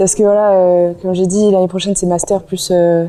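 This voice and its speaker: A woman's voice with a dark, mellow tone moves along at a fairly quick pace. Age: 20s. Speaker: student athlete, water polo player. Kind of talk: interview testimony. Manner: hesitant, many fillers.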